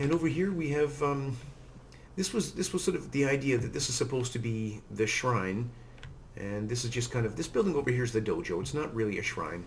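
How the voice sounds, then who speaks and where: There is audible room echo as a man talks in a somewhat breathy voice at a medium pitch. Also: fairly quick pace. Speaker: Minecraft let's play youtuber. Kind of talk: gameplay commentary. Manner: flat, without lilt; hesitant, many fillers.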